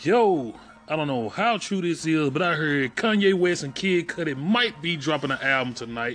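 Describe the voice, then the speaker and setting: The speech moves at a moderate pace with lively intonation. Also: man, fairly high pitch for a man. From Memphis, Tennessee, US South. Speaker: podcast host. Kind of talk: casual monologue.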